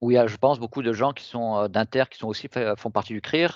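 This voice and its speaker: Pitch moves in an ordinary way, and the background stays quiet. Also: man. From southern France, Toulon area. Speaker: professor, researcher. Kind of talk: academic talk. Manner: halting, many fillers.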